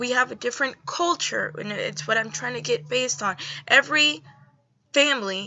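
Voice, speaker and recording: Her pitch is high, swinging very widely. The woman keeps a moderate pace. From Dominican Republic. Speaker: video blogger. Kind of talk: response video monologue. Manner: halting, with repeated words.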